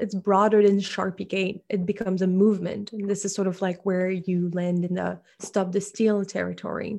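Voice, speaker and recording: In a French accent, a woman speaks at medium pitch and a moderate pace over a quiet background. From France. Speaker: disinformation researcher. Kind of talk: interview.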